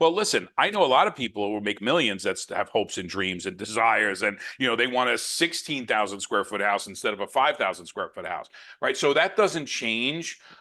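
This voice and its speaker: A man speaks at medium pitch and a fairly quick pace, with lively intonation against a quiet background. His tone is animated, bright and sharp. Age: 60s. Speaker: podcast co-host, network marketer. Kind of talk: casual podcast discussion.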